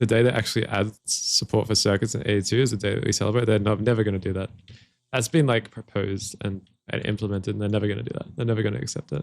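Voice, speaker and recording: Talking at a very fast pace with an Australian accent, a man with a fairly low pitch, ordinary pitch variation, and vocal fry is heard. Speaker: gaming streamer. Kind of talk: live stream gameplay commentary. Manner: casual, repetitive stammering.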